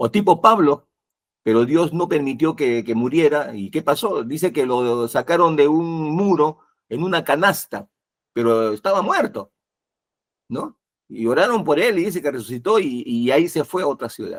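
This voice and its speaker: A man talks in a normal speaking voice, fairly high in pitch, with lively intonation at a moderate pace. The sound is dry and close, with no echo. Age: 60s. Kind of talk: religious talk show discussion.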